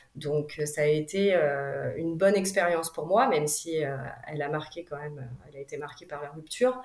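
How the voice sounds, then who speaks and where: A woman speaks with a very deep, low pitch and big swings in loudness. Noticeable background noise can be heard. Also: ordinary pitch variation, moderate pace. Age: 30s. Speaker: single mother. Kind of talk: personal testimony interview. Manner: hesitant, many fillers.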